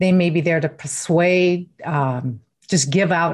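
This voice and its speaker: A woman with a fairly low pitch talks with ordinary pitch variation. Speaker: neurocoach and mindfulness trainer. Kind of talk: interview answers explaining brain science.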